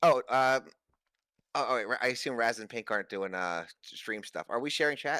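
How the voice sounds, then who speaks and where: A man speaks loudly at medium pitch, with a bright, sharp tone and ordinary pitch variation. The recording is very clean, with a silent background. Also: fairly quick pace, dry, close sound with no echo. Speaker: gamer guest on stream. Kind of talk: casual chat. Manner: halting, repeats words.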